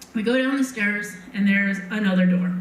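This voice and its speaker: A woman speaks in an American accent with ordinary pitch variation. There is noticeable background noise behind her. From Montana. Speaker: storyteller. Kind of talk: live personal storytelling. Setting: live stage.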